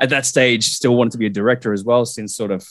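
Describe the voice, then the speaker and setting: Speaking very fast with an Australian accent, a man keeps a medium pitch and a monotone, flat intonation. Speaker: guest co-host filling in. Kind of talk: casual chat.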